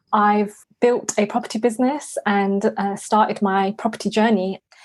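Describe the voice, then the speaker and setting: In a London accent, a woman at a medium pitch speaks at a moderate pace with monotone, flat intonation. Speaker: property investor. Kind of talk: podcast interview.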